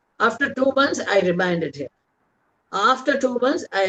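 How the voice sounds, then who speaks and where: A woman with a Tamil accent speaks at a moderate pace with very wide pitch swings, in a dry, close sound with no echo. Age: 80s+. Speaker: author. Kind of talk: interview talk. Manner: halting.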